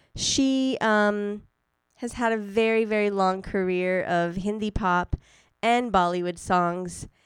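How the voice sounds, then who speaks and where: Recorded very cleanly against a silent background, a woman speaks at medium pitch in an unremarkable speaking voice. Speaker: radio host. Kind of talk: radio dj patter. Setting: studio. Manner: chatty, casual, upbeat.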